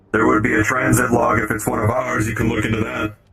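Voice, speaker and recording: A put-on character voice rattles along at a very fast pace. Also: man, fairly low pitch for a man. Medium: actual play. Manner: formal, clipped, measured.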